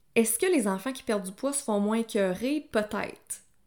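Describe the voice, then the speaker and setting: A woman with a Quebec accent speaks at a fairly slow pace with ordinary pitch variation. The recording is very clean, with a silent background. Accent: Québécois French. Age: 30s. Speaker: nutritionist. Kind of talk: personal testimony monologue. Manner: casual, conversational.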